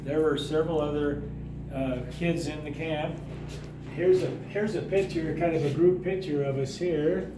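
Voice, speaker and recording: A man's fairly high voice with an American accent, moderate pace and fairly even intonation, amid noticeable background noise and audible room echo. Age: 80s+. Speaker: museum volunteer. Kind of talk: casual interview.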